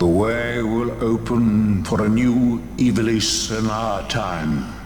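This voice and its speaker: A man does a put-on character voice at a medium pitch and a very slow pace. Clear background noise can be heard. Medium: game stream. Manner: slow, solemn, cryptic.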